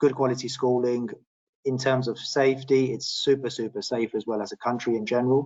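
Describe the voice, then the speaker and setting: A man with a British accent speaks at a moderate pace. His medium-pitched voice is monotone, with flat intonation. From London, England. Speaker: property expert. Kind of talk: webinar panel discussion.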